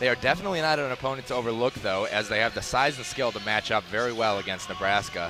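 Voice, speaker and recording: Music plays in the background. A man with a medium pitch speaks at a very fast pace. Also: ordinary pitch variation, hardly any pauses. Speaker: sports broadcaster. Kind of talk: post-game interview questions and broadcast sign-off.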